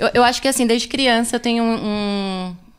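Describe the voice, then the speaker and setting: A woman's plain, everyday voice, fairly even in intonation, at a moderate pace, on a very clean recording with a silent background. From São Paulo Zona Sul, Brazil. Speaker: cultural producer. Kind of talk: casual podcast interview.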